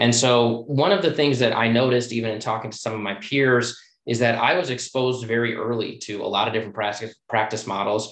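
This is a normal speaking voice with an American accent. It moves at a fairly quick pace with ordinary pitch variation. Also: man, medium pitch for a man, hardly any pauses. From US Midwest, Chicago. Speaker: plastic surgeon. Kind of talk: casual interview.

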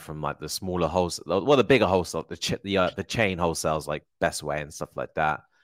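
A man with a southern English accent, very deep, low pitch and very fast pace, ordinary pitch variation, dry, close sound with no echo, very clean recording, silent background. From Hertfordshire, England. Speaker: Amazon seller, entrepreneur. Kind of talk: casual chat.

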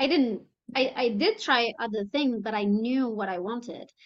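The speaker goes at a fairly slow pace. Pitch varies in an ordinary way. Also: woman, fairly high pitch for a woman.

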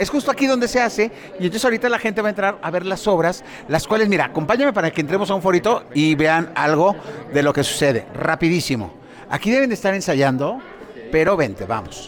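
A man's high, lively voice at a very fast pace, loudness very even, with noticeable background noise. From northern Mexico, Chihuahua. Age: 50s. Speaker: theatre producer and TV host. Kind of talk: casual interview chat.

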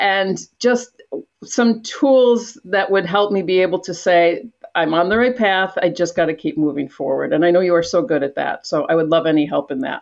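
A woman at a moderate pace with lively intonation. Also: medium pitch for a woman. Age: 60s. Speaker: aspiring real estate entrepreneur. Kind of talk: coaching conversation. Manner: animated.

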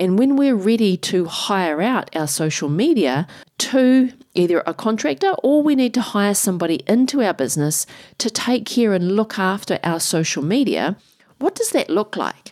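At a moderate pace, a woman of medium pitch speaks with a New Zealand accent, her pitch swinging very widely. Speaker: podcast host and business strategist. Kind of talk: podcast intro and interview.

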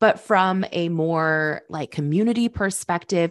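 Against a quiet background, a woman talks at a fairly low pitch with ordinary pitch variation. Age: 20s. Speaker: entrepreneur and podcast host. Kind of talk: casual chat. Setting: studio, in person.

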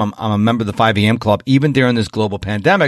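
At a very fast pace, this man is talking. He has an American accent. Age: 50s. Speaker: podcast host. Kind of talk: interview podcast. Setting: remote interview.

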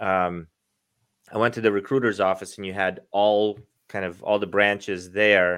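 The speaker talks with a Russian accent in a monotone, flat intonation at a moderate pace. The recording is very clean with a silent background. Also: man, fairly low pitch for a man. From Russia, moved to US at nine. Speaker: sales coach. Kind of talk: interview.

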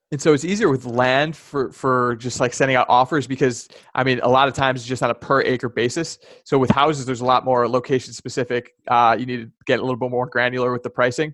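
Against a quiet background, a man with an American accent talks very fast at medium pitch, with fairly even intonation. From US Midwest, Chicago area. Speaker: land investor. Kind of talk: interview. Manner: halting, many fillers.

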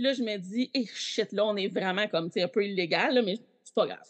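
A woman with a Quebec accent, fairly high-pitched, fairly quick, with lively intonation and big swings in loudness. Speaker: Backstreet Boys superfan. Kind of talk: casual chat.

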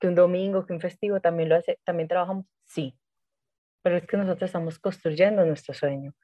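Using a plain, everyday voice, a woman talks at a fairly quick pace with fairly even intonation. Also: fairly low pitch for a woman. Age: 30s. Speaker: spiritual coach. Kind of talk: casual interview chat.

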